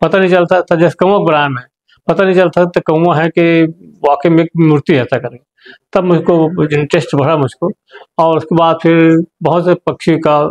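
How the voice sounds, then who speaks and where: In a dry, close sound with no echo, a high-pitched man speaks at a moderate pace with fairly even intonation. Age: 70s. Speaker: retired teacher and clay sculptor. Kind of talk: interview.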